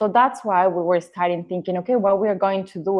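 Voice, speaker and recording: With an Ecuadorian accent, a woman speaks in a fairly low voice with ordinary pitch variation. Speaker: real estate agent, former cabin crew. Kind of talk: podcast interview. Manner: halting.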